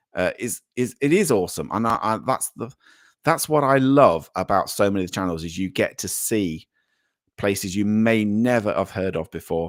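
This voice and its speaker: Lively intonation marks a man's fairly low voice with a British accent at a moderate pace. The recording is very clean, with a silent background. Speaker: livestream host. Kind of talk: live chat reading. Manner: halting, many fillers.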